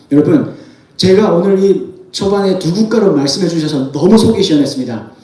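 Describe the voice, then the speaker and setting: An animated tone with lively intonation and audible room echo. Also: man. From North Korea. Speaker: North Korean defector speaker. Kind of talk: sermon-style testimony talk.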